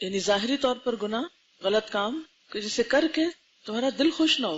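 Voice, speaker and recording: This woman has an unremarkable speaking voice pitched fairly high. Her intonation is lively. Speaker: Islamic scholar giving a lecture. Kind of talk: religious lecture to an audience. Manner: teaching, question-and-answer style with the audience.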